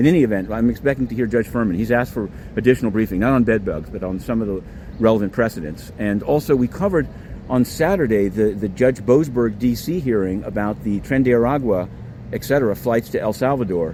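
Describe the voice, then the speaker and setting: Someone talks at a very fast pace with lively intonation over noticeable background noise. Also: man. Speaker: independent court reporter. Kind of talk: walking vlog update. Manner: halting with repetitions.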